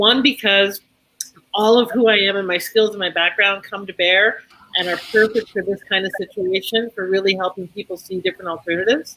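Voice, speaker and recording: A woman talks at a fairly quick pace in a plain, everyday voice with medium pitch. Her intonation stays fairly even while her loudness swings a lot. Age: 60s. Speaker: women's empowerment coach. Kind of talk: panel discussion.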